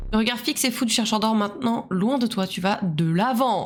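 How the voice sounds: A natural reading voice, ordinary in its pitch variation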